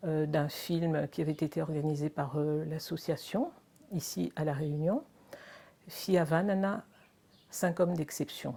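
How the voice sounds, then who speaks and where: Her tone is dark and mellow, her pitch fairly low for a woman. She speaks at a very slow pace with ordinary pitch variation. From Madagascar. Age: 70s. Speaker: charity volunteer and sponsor. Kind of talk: testimony. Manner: hesitant, many fillers.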